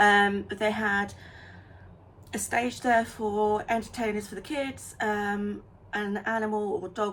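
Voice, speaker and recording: A woman is speaking. Her pace is very slow. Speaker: crochet small business vlogger. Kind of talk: casual vlog chat. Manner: hesitant, many ums.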